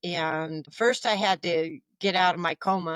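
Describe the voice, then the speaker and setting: An ordinary speaking voice with ordinary pitch variation comes through in a dry, close sound with no echo. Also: woman. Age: 60s. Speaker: entrepreneur, magazine publisher. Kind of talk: interview conversation.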